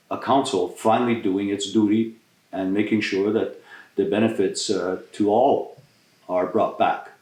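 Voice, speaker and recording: Audible room echo surrounds the voice. A man is talking at a moderate pace. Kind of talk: community address and interview. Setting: in a private home.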